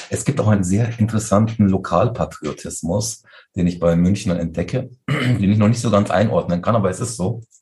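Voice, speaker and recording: A man's fairly low, somewhat breathy voice with a dark, mellow tone, ordinary pitch variation and a fairly quick pace. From Munich, Bavaria (Turkish family). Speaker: interfaith community organizer. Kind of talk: interview.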